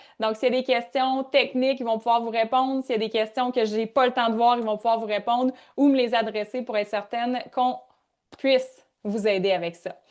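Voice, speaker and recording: Here a woman talks with a Quebec accent. Her pitch is fairly high and her pace fairly quick. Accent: Québécois French. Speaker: workshop leader and coach. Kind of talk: live online workshop. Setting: live video call. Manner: animated.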